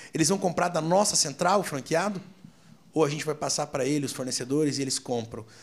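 A man rattles along at a very fast pace with a fairly high pitch. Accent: Curitiba. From Curitiba, southern Brazil. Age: 30s. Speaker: restaurant franchise owner. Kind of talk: casual interview.

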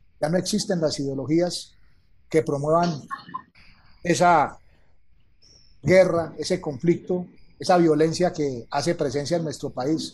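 Fairly slow and high-pitched, a man speaks with fairly even intonation. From Colombia. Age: 50s. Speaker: retired army colonel. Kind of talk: conversation. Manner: formal.

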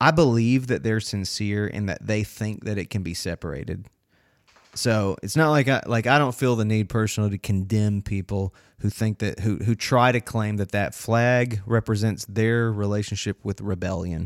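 A man with a North Carolina accent speaks at a moderate pace, his fairly low pitch showing ordinary variation. The recording is dry and close with no echo, and the background is silent and very clean. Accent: Southern US (North Carolina). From North Carolina, Winston-Salem/King area. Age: 30s. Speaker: podcast host. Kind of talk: casual chat.

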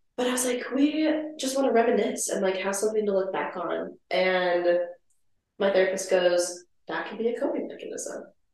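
In a room with audible echo, a woman speaks at a medium pitch and moderate pace with lively intonation. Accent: American. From Minnesota. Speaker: pharmacy student. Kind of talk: casual chat.

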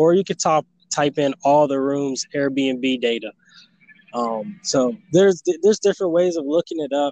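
Speech comes at a moderate pace. The tone is dark and mellow. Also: man, fairly high pitch for a man, ordinary pitch variation, dry, close sound with no echo. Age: 20s. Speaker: aspiring entrepreneur and YouTuber. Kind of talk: interview.

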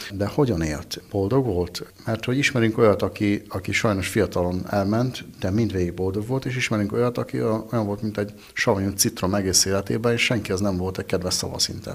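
In an ordinary speaking voice, a man talks fairly quickly with hardly any pauses, a fairly low pitch and ordinary pitch variation. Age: 40s. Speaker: winemaker. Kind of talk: interview.

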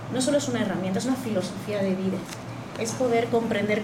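A woman's medium-pitched voice carries through audible room echo and noticeable background noise. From Spain. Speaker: astrology teacher and alternative therapist. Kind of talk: panel discussion on astrology.

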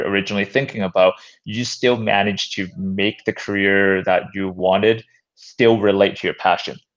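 A man with a Canadian accent speaks at a moderate pace in a plain, everyday voice, fairly low in pitch, with fairly even intonation against a quiet background. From Canada, North Vancouver. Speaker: podcast host. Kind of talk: interview.

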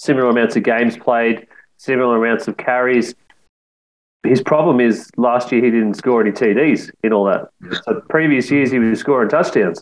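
An unremarkable speaking voice from a man at medium pitch, with ordinary pitch variation and a moderate pace. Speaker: fantasy football co-host. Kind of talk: casual banter.

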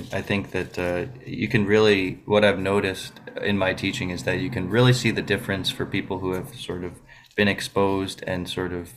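Here is an ordinary speaking voice: a man with an American accent and a fairly low pitch. He keeps a moderate pace with hardly any pauses and ordinary pitch variation. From Buffalo, New York. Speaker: classical guitarist. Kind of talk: radio interview.

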